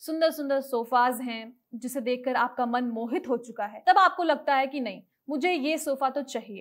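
Ordinary pitch variation comes at a fairly slow pace. The background is quiet. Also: woman, high pitch for a woman. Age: 20s. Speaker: personal finance presenter; presenter. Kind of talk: educational explainer video. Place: studio.

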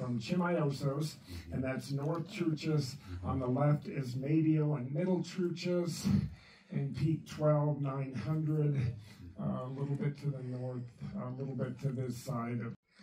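Light background noise and audible room echo fill the recording. A man speaks at a fairly slow pace with ordinary pitch variation. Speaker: speaker. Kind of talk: presentation talk. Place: meeting room.

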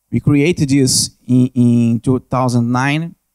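A man speaks in a Brazilian accent. The background is quiet. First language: Portuguese. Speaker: network analyst, conference speaker. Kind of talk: conference presentation with Q&A. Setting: conference stage with audience. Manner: halting, hesitant with repetitions. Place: hall. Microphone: handheld.

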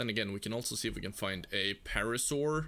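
A man speaks with a Norwegian accent. His pace is moderate. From Norway. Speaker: gaming streamer. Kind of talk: live gameplay stream chat. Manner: casual, animated.

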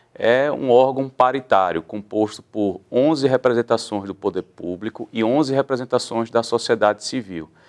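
Against a quiet background, a man with a Pernambuco accent talks at a moderate pace with hardly any pauses. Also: medium pitch for a man, ordinary pitch variation. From Pernambuco, Brazil. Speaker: public defender, human rights council president; public guest. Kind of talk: interview. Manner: formal. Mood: calm, measured, explanatory. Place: studio. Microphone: lapel.

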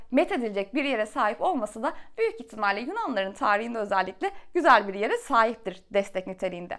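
Against a quiet background, a woman with a fairly high pitch races along at a very fast pace with very wide pitch swings. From Turkey. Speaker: book reviewer / YouTuber; book reviewer, YouTuber. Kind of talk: book review monologue. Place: home room.

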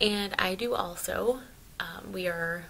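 Light background noise runs beneath a woman's voice. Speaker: family vlogger. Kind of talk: casual vlog chat. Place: home room.

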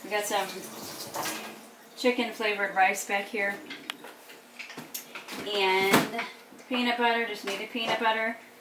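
A woman speaks fairly slowly, leaving long, frequent pauses. Noticeable background noise is present. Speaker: home vlogger. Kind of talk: casual vlog chat. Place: home room.

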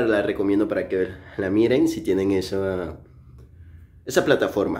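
This man talks at a moderate pace with a fairly low pitch. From Mexico, Chiapas. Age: 20s. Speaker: vlogger. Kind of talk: casual vlog narration. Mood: relaxed, friendly. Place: home room. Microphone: phone near.

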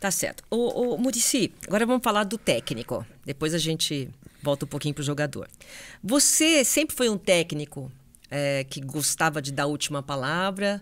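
A woman with a very deep, low pitch talks at a moderate pace, her pitch swinging very widely, with long, frequent pauses. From Brazil. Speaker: sports journalist and podcast host; sports journalist, podcast host. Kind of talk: interview. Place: studio. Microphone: studio mic.

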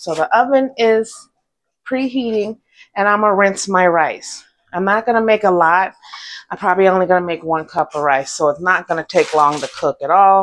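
Light background noise under a woman, moderately paced. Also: ordinary pitch variation. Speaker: home cooking vlogger. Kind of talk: casual vlog chat. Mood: cheerful, relaxed. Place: kitchen. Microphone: lapel.

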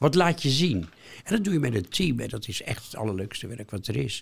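On a very clean recording with a silent background, a man speaks at a moderate pace. His voice shows vocal fry and very wide pitch swings. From Netherlands, Rotterdam. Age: 80s+. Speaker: retired museum worker. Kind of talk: interview. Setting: studio.

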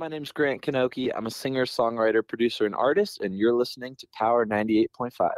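Using an ordinary speaking voice, a man talks at a fairly quick pace with hardly any pauses and medium pitch. His intonation is lively, loudness swings widely, and the sound is dry and close with no echo. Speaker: film director and writer. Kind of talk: casual interview chat. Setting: radio interview.

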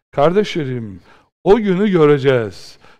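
A man talks at a fairly slow pace, his pitch swinging very widely. The background is quiet. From Turkey. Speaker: Islamic preacher and teacher; Islamic preacher, teacher. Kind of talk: religious lecture. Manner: impassioned, rhetorical. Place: studio.

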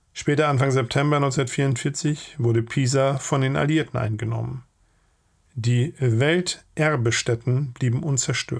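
A somewhat breathy man at medium pitch, his intonation fairly even, on a very clean recording with a silent background. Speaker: channel host and narrator. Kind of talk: audiobook reading of a war memoir.

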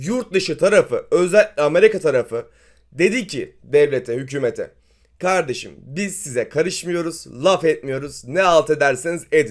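A man speaks at a high pitch and a fairly slow pace, with ordinary pitch variation. The recording is very clean, with a silent background. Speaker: finance YouTuber. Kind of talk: market commentary video.

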